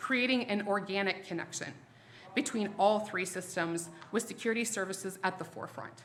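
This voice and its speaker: Here a woman talks at a medium pitch. Noticeable background noise sits behind her. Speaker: sales presenter for a security vendor. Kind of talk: product presentation to a live audience. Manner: fast; casual, self-interrupting.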